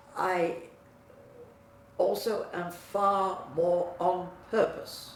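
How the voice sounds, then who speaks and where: Through noticeable background noise and audible room echo, a woman speaks at a very slow pace. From England. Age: 90s. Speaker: client giving testimonial. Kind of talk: testimony.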